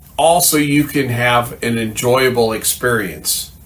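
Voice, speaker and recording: Fairly slow speech from a man, audible room echo around it. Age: 60s. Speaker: firearms channel host. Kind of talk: scripted monologue.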